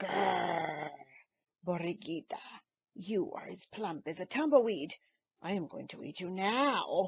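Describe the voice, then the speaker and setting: A growling, raspy put-on character voice, female-sounding, at medium pitch and a fairly slow pace. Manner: growling, menacing.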